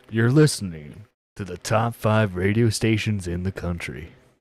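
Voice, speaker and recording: A man's put-on character voice at a moderate pace, with big swings in loudness. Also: fairly low pitch for a man, ordinary pitch variation. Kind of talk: radio announcer.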